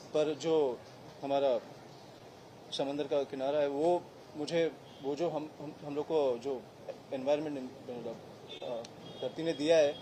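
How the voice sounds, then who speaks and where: Against noticeable background noise, the speech comes in a monotone, flat intonation broken by long, frequent pauses. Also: man, fairly high pitch for a man. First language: Marathi (speaking Hindi). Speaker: politician, election candidate. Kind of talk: press conference Q&A. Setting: press conference with reporters. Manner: halting, with filler sounds.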